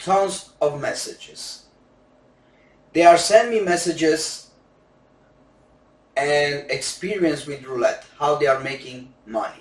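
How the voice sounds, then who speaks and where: With a Romanian accent, a fairly high-pitched man speaks with ordinary pitch variation, big swings in loudness, and long, frequent pauses. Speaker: gambling coach. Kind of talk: sales pitch. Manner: non-native halting English.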